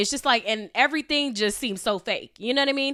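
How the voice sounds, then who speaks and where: A woman speaks fairly quickly in a raised, projected voice. Her tone is bright, sharp and animated. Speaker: podcast host. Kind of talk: casual monologue. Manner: loud.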